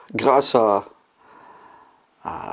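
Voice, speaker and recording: A man speaks with a dark, mellow tone. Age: 60s. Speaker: religious convert giving testimony. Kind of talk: testimony. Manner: halting, frequent hesitations.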